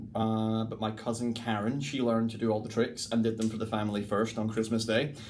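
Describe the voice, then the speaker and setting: In a central Lowlands Scottish accent, a man speaks at a medium pitch with audible room echo. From Scotland, between Glasgow and Edinburgh. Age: 30s. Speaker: mentalist and stage performer. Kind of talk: casual interview chat. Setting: dressing room between shows.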